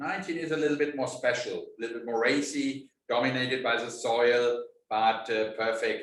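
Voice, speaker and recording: A man with a German accent talks at a moderate pace with hardly any pauses and ordinary pitch variation, and the room echo is audible. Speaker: winemaker. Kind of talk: interview. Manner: halting.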